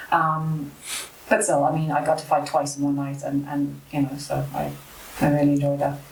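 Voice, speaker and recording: In a room with audible echo, a woman speaks at a moderate pace with a very deep, low pitch and monotone, flat intonation. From South Africa, Cape Town, moved to Ireland at 14. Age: 30s. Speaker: amateur MMA fighter. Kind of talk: casual interview chat.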